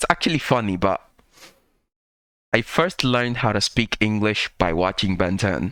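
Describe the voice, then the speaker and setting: A man with a non-native accent, fairly low pitch and a bright, sharp tone, at a moderate pace with long, frequent pauses, in a dry, close sound with no echo. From third world country. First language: not English. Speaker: reaction youtuber. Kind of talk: casual commentary. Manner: halting.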